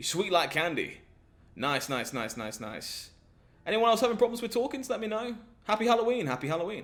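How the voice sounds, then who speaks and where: This man speaks fairly quickly in a high voice. His pitch swings very widely and his loudness rises and falls sharply. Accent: English. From southern England. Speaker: gaming streamer. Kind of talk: live stream chat with viewers. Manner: animated.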